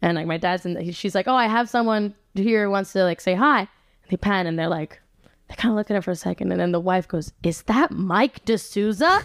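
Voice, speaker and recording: A woman speaks at a medium pitch with an American accent, her pitch varying in an ordinary way at a fairly quick pace. The recording is very clean with a silent background, and the sound is dry and close with no echo. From Rome, Italy. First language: English (Italian learned at seven). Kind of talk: casual chat.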